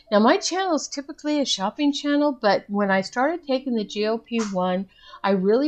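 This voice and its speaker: Fairly quick speech with very wide pitch swings over noticeable background noise. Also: woman. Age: 60s. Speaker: vlogger. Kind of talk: casual vlog update.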